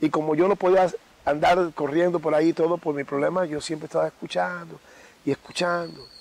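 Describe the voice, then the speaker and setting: A man talks at a fairly quick pace, his pitch fairly high. His intonation is monotone and flat, and the sound is dry and close with no echo. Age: 60s. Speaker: babalawo. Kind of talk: interview. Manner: halting.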